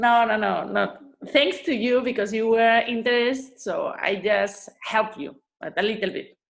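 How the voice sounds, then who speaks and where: In a Spanish accent, a woman talks at a moderate pace with a fairly high pitch and ordinary pitch variation. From Spain, Asturias. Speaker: food blogger and influencer. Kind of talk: interview conversation. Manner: halting, searching for words.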